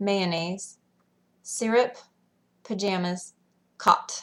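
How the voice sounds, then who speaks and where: A woman speaks with a Western US accent. Her pace is very slow and her intonation fairly even. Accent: Western American. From Western United States. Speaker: school teacher. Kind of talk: word list reading.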